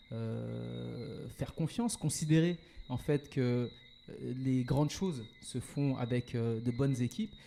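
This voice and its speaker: At a fairly slow pace, a man speaks in a medium pitch with ordinary pitch variation and a dark, mellow tone. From Paris suburbs, France. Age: 40s. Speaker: entrepreneur. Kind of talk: podcast interview. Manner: hesitant, many fillers.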